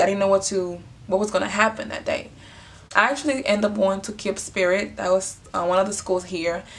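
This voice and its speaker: In a Honduran accent, a woman speaks at a moderate pace and medium pitch with fairly even intonation. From Honduras. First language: Spanish. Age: 20s. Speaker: vlogger. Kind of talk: casual storytelling. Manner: casual, filler-heavy.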